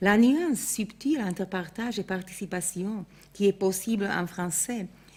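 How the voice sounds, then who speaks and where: A woman's medium-pitched, somewhat breathy voice with a dark, mellow tone, a Slovak accent, ordinary pitch variation and a fairly slow pace, in a very clean recording with a silent background. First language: Slovak (speaking French). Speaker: art historian. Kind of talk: lecture. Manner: formal.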